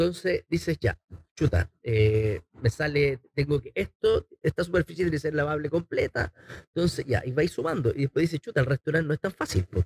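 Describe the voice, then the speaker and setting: With a Chilean accent, a man talks at a fairly quick pace and fairly high pitch, his lively intonation touched by vocal fry, in a dry, close sound with no echo. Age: 40s. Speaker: chef and entrepreneur. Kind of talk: casual interview.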